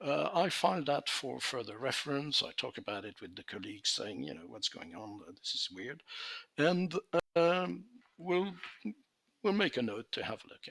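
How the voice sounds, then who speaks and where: A man speaks with vocal fry and a bright, sharp tone, leaving long, frequent pauses. His pitch swings very widely and his loudness shifts a lot. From Belgium. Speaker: conference speaker, translation official. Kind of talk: conference presentation. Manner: hesitant, many fillers.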